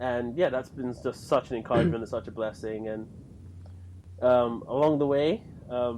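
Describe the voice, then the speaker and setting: The speaker is a man with a medium pitch. His pace is moderate and his pitch variation ordinary. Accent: English. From London, England. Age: 20s. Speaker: podcast co-host and lay church teacher. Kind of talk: casual chat.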